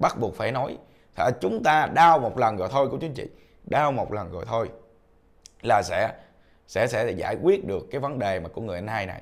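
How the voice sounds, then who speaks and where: An animated tone with very wide pitch swings and long, frequent pauses against a quiet background. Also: man, moderate pace, big swings in loudness. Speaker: online commentary vlogger. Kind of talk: casual commentary monologue. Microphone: lapel.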